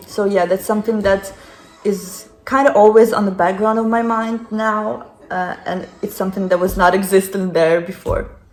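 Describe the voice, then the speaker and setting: A woman speaks in a Ukrainian accent at medium pitch. Her pace is moderate and her intonation fairly even. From Ukraine. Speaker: interviewee, former refugee. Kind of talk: interview. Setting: friend's home.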